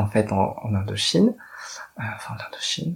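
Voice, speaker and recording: A man's fairly low, somewhat breathy voice at a moderate pace. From Paris, France. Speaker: drag queen and activist. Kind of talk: personal testimony monologue.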